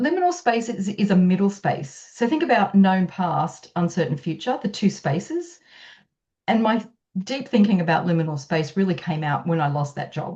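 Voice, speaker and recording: A woman's somewhat breathy voice, dark and mellow in tone, at medium pitch with lively intonation and a moderate pace. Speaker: author and speaker. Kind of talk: podcast interview.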